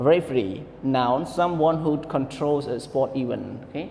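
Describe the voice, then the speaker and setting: A man with a non-native accent and a fairly high pitch speaks with ordinary pitch variation, amid noticeable background noise and audible room echo. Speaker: English teacher. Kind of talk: online lesson. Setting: recorded online class.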